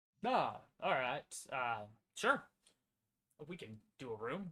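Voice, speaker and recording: Putting on a character voice, a man speaks at a medium pitch and a very slow pace. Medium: actual play. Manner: folksy, casual.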